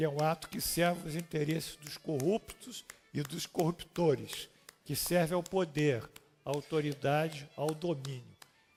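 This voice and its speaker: Fairly even intonation at a fairly slow pace, with music in the background. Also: man, fairly high pitch for a man. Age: 70s. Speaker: spiritist doctrine teacher. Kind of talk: lecture.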